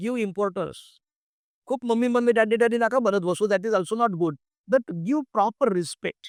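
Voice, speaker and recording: The sound is dry and close with no echo as a man speaks at a high pitch with ordinary pitch variation. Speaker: pastor. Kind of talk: sermon.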